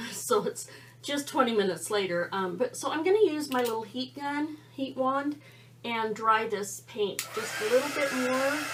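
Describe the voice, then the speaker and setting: A woman with a high pitch talks at a moderate pace with lively intonation over noticeable background noise. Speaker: art tutorial creator. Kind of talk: tutorial. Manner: quiet; casual, halting.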